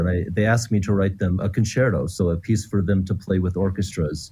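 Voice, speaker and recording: A man's very deep, low pitch, dark and mellow in tone, somewhat breathy, with fairly even intonation. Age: 50s. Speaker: composer. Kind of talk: interview.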